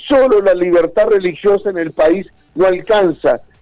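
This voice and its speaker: With music in the background, a man talks at a high pitch and a fairly slow pace with ordinary pitch variation. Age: 60s. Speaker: religious school coordinator. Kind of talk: radio interview.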